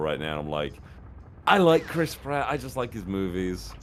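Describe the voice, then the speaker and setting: With a British accent, a man talks at a moderate pace in a fairly low pitch. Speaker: voice actor. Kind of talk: casual chat while watching a stream.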